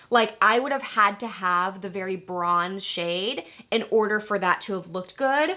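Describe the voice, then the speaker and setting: This woman has an ordinary speaking voice, pitched at a medium level. She keeps a moderate pace with ordinary pitch variation. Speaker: beauty YouTuber. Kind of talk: casual product review. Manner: casual, chatty.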